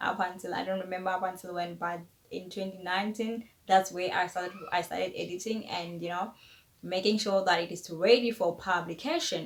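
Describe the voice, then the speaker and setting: Over noticeable background noise, a woman with a South African accent talks at a moderate pace and a medium pitch. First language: Tshivenda. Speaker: author and YouTuber. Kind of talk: casual vlog talk to camera.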